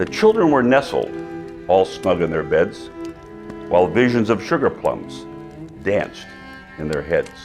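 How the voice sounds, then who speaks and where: Music sounds behind the recording. A man talks at a fairly slow pace. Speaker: mayor. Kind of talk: poetry reading.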